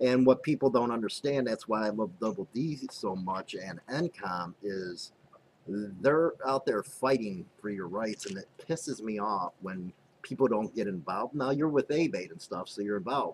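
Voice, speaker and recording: Here is a man with a normal speaking voice and an American accent, at medium pitch. His intonation is lively and his pace moderate. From Chicago, North Side (Rogers Park). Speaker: biker news show host and author. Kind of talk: casual podcast interview.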